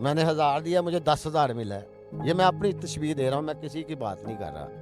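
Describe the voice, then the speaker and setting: With music playing in the background, a man talks in a fairly high pitch, his loudness swinging widely. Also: ordinary pitch variation. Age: old. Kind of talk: interview answer.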